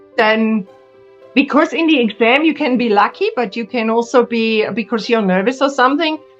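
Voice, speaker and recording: Music plays in the background as a woman speaks at a high pitch. Her pace is moderate, with ordinary pitch variation. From Germany. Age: 60s. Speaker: pharmacist. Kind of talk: interview answer.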